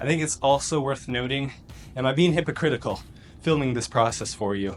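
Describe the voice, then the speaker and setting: A man speaks in an unremarkable speaking voice. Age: 20s. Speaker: vlogger and amateur bodybuilder, army cadet. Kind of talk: casual vlog talk to camera.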